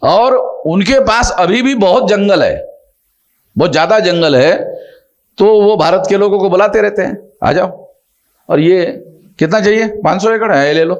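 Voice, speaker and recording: A man with a high-pitched voice speaks at very even loudness, leaving long, frequent pauses, with audible room echo. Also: ordinary pitch variation. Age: 60s. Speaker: social organization leader. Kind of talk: conversational interview. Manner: emphatic, repetitive.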